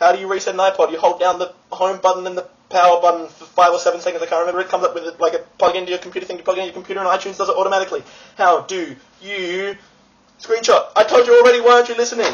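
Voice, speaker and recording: Someone speaks at a very fast pace in an Australian accent. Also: man, high pitch for a man, big swings in loudness. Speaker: vlogger. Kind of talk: casual vlog. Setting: friend's apartment. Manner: animated. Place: home room. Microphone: webcam.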